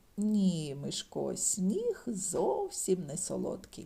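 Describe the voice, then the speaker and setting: Here a woman uses a put-on character voice. Her pace is very slow. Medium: read story.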